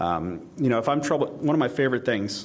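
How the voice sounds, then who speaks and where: The speech races along at a very fast pace with vocal fry. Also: man. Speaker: conference speaker. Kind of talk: audience Q&A; conference talk. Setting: stage with audience.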